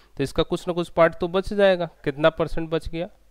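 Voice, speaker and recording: A man talks fairly slowly, with little sound behind him. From India. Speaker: engineering exam tutor; online exam-prep teacher. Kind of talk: online lecture. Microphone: headset.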